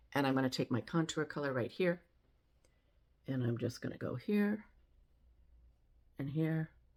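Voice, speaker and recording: On a very clean recording with a silent background, a woman with a very deep, low pitch speaks at a moderate pace with lively intonation and long, frequent pauses. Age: 70s. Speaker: makeup demonstrator. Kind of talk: tutorial. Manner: casual, conversational.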